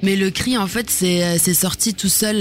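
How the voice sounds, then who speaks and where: Through noticeable background noise, a woman speaks at a fairly slow pace with fairly even intonation. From Germany. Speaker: musician and actress. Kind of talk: casual interview. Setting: radio studio.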